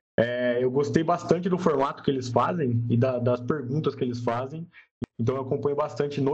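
This is a man speaking at a medium pitch. His pitch varies in an ordinary way. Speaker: travel podcaster, hitchhiking traveler. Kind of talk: casual interview chat.

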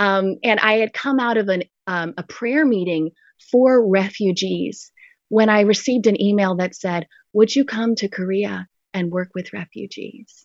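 In a dry, close sound with no echo and a quiet background, a woman with an unremarkable speaking voice and an American accent talks at a fairly slow pace, medium in pitch with ordinary pitch variation. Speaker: missionary. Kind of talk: testimony.

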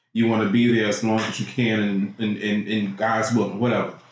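A man is speaking. The room echo is audible. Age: 30s. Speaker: podcast guest. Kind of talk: casual chat.

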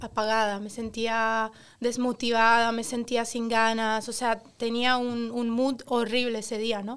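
A woman talks at a fairly slow pace in a high pitch. The recording is very clean, with a silent background. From Romania and Italy. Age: 20s. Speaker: social media creator. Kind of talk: casual chat.

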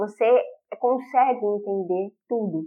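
Ordinary pitch variation in a woman's fairly high voice, at a fairly slow pace. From Brazil, interior of São Paulo state. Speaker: astrophysicist. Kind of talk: interview. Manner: halting.

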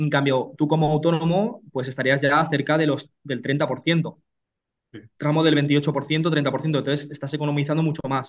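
A man's ordinary speaking voice, fairly high in pitch, with fairly even intonation at a fairly slow pace. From Catalonia, Spain (Reus, Tarragona). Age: 30s. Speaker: real estate investor and entrepreneur. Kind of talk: interview.

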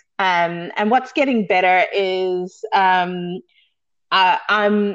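This woman speaks at a medium pitch in a New Zealand accent. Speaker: podcast co-host. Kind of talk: casual chat.

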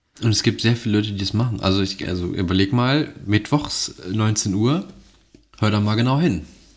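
With an unremarkable speaking voice, a man talks at a moderate pace in a fairly low pitch with ordinary pitch variation. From Mönchengladbach, western Germany. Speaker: podcast host. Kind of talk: casual chat.

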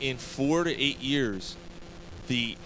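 An ordinary speaking voice, a man talks at a medium pitch with ordinary pitch variation. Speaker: podcast host. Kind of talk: casual sports chat.

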